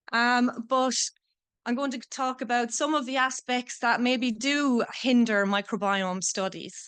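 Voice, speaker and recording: A woman speaks at a fairly slow pace with an Irish accent, her pitch high. Her pitch variation is ordinary, and the background is quiet. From Ireland. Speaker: PhD student researcher. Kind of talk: conference talk.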